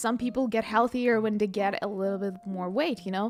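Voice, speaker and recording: A woman with a non-native accent speaks at a moderate pace. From Ukraine. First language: not English. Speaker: livestreamer. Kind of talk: casual livestream chat. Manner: halting, many fillers and repeats; animated.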